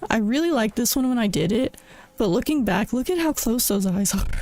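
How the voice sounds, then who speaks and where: A woman with a fairly high voice speaks with lively intonation. The sound is dry, with no echo. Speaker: streamer. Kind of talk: casual chat. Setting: live stream. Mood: self-critical, amused. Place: home room. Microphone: studio mic.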